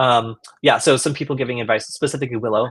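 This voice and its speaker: A man's somewhat breathy voice at a very fast pace, ordinary pitch variation, dry and close with no echo, on a very clean recording with a silent background. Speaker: security researcher. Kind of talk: live stream Q&A.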